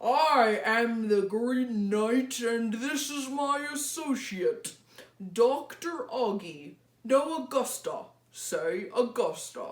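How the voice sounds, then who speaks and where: A put-on character voice from a woman, high-pitched and very slow. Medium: read story. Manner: loud, theatrical.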